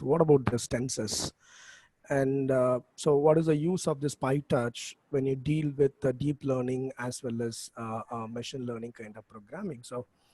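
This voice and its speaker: A soft-spoken man at a medium pitch, dark and mellow in tone, with fairly even intonation at a moderate pace, in a dry, close sound with no echo. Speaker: professor. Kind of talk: lecture. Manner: halting. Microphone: too quiet, far from the mic.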